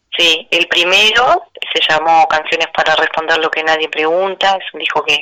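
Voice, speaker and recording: This woman has a fairly low pitch. She talks at a fairly slow pace. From Uruguay, Melo near the Brazilian border. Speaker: singer-songwriter. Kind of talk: interview. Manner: halting, with frequent repetitions.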